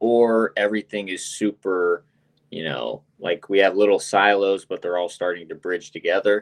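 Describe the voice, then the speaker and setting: A man with an American accent and a fairly low pitch, ordinary pitch variation, an ordinary speaking voice, and a quiet background. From United States. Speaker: crypto game marketing executive. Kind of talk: interview. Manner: casual, fluent.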